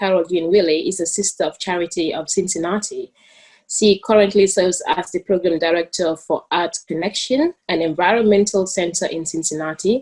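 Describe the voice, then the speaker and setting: A woman talks with a Gambian accent. Her pitch variation is ordinary. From The Gambia. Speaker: student moderator. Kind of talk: panel introduction.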